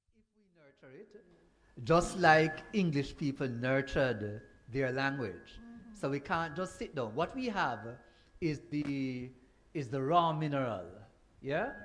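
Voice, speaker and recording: Amid noticeable background noise, a man with a fairly high voice speaks fairly slowly, with lively intonation, big swings in loudness, and long, frequent pauses. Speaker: panelist. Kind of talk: panel discussion.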